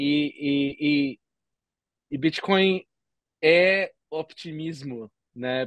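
A fairly high-pitched male voice, dry with no echo, against a quiet background. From Brazil. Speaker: entrepreneur and podcaster; podcaster. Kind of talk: podcast interview. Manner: halting, many repetitions. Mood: cheerful, smiling. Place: home room. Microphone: video call.

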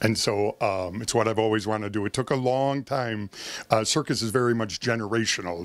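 The man speaks at a fairly quick pace, and the sound is dry with no echo. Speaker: circus ringmaster. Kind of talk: interview answer. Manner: upbeat. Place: office. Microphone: handheld.

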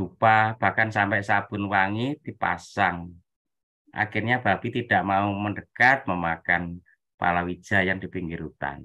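A plain, everyday voice, a man with a fairly low pitch, ordinary pitch variation and a fairly slow pace. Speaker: webinar participant. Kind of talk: commentary in a discussion. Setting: video call, camera off.

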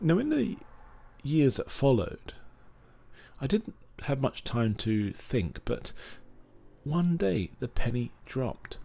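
The voice is dark, mellow and somewhat breathy, with very wide pitch swings. It moves very slowly, broken by long, frequent pauses. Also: man, medium pitch for a man. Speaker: opera singer. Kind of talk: personal story narration.

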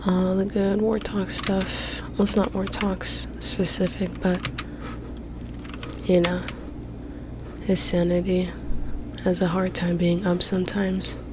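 A woman whispers at a very slow pace with long, frequent pauses, the sound dry with no echo and the background noise noticeable. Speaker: ASMR gaming creator. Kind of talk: ASMR gaming commentary. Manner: whispered. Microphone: studio mic.

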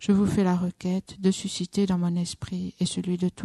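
Breathy to some degree, a woman's voice has a dark, mellow, calm tone. Her intonation stays monotone and flat. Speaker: Buddhist nun leading meditation. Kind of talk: guided meditation. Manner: slow, calm, measured, with pauses.

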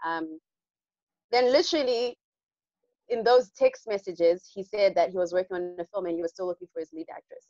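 A woman with a dark, mellow tone talks fairly quickly at a medium pitch, with ordinary pitch variation, big swings in loudness, and long, frequent pauses. The sound is dry with no echo, over a quiet background. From Zimbabwe. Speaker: actress. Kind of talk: Q&A interview. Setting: video call. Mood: warm, smiling, reflective. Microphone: video call.

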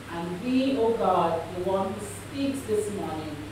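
A woman amid noticeable background noise and strong room echo. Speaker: guest preacher. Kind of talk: prayer. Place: church.

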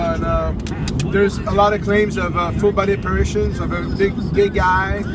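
A man talks at a fairly quick pace over loud background noise. His voice sounds dry, with no echo. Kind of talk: casual conversation. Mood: excited. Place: car. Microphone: camera far.

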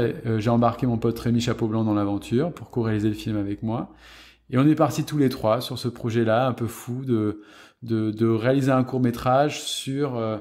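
A man with a normal speaking voice talks at a moderate pace with ordinary pitch variation, on a very clean recording with a silent background. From southwest France, Gironde near Bordeaux. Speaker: film set photographer. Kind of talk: interview conversation.

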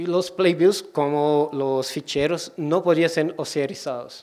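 A man speaks in a Portuguese accent at a fairly high pitch. His intonation is fairly even, and the background is quiet. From Brazil, Ceará. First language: Portuguese (speaking Spanish). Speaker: librarian and digital curator; guest lecturer. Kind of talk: lecture. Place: hall.

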